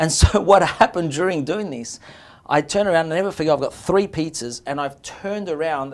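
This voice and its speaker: The speaker has an Australian accent. The intonation is lively. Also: man. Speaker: restaurant owner, pizza maker. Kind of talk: interview.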